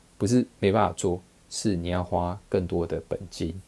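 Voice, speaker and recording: A man with a Taiwanese accent speaks at a very deep, low pitch. His tone is dark, mellow and relaxed, with fairly even intonation. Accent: Taiwanese Mandarin. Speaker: investing podcaster. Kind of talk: casual monologue. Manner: relaxed, filler-heavy.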